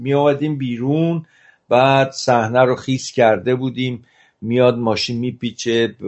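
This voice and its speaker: At a fairly slow pace, a man with a normal speaking voice talks at a medium pitch with fairly even intonation. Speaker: cinematographer. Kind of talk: interview.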